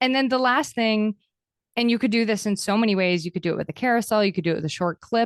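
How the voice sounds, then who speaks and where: A woman with an American accent and fairly high pitch, ordinary pitch variation and very even loudness, at a very fast pace, dry and close with no echo. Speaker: podcast host and content coach. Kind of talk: interview. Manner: high energy.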